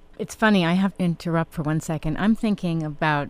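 A woman talks in an ordinary speaking voice with a fairly low pitch. Her intonation is lively. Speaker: radio host. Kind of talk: radio interview. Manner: warm, conversational.

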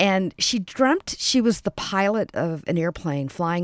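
A woman with an American accent speaks at a moderate pace in an unremarkable speaking voice, her intonation lively, the sound dry and close with no echo on a very clean recording against a silent background. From US South (Atlanta). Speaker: nonprofit founder. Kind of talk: radio interview. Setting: studio.

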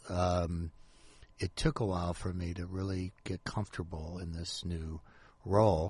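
In a very deep, low pitch, a man speaks at a fairly slow pace with monotone, flat intonation and a somewhat breathy voice, over a quiet background. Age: 60s. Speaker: author. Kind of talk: casual chat. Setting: radio studio.

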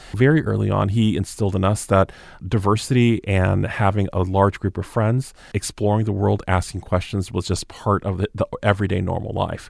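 A moderate-paced voice in an American accent with fairly even intonation, hardly any pauses, and a very clean recording with a silent background. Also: man, fairly low pitch for a man. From US South (southwest Georgia). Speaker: university administrator. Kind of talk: interview.

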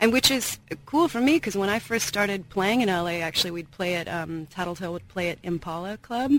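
Speaking with an American accent, a woman has a plain, everyday voice that is fairly low in pitch. She moves at a moderate pace with ordinary pitch variation. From Seattle, US Pacific Northwest. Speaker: cellist and songwriter, guest musician. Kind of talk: casual radio interview. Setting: radio studio.

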